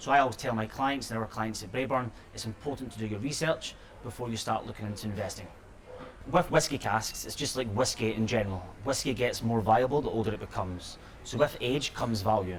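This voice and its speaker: Over noticeable background noise, a man with a Scottish accent speaks at a very fast pace. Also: medium pitch for a man, ordinary pitch variation. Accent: Scottish, clearly audible. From Scotland. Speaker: company executive. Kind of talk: interview. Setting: noisy sherry bar.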